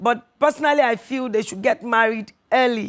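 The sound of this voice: Speaking at a moderate pace, a woman uses a fairly high pitch with ordinary pitch variation.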